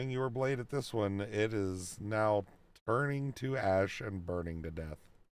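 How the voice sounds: The voice heard here is a natural reading voice.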